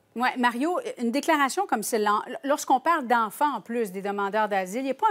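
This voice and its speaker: Speaking with a Quebec accent, a woman uses a high pitch at a fairly quick pace. The background is quiet. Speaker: TV news host moderating panel. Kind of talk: TV panel discussion. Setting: TV studio. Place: studio. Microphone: lapel.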